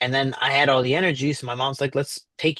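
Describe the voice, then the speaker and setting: At a fairly quick pace, a man with a Chicago accent speaks in a medium pitch, captured in a dry, close sound with no echo. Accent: Chicago American English. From Chicago, US (South Side). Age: 30s. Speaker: professional MMA fighter. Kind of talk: interview.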